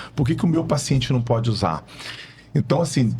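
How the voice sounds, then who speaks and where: With music in the background, a man's voice sits at a medium pitch. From Brazil, Rio de Janeiro state. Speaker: physician. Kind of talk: podcast interview. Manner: casual, conversational.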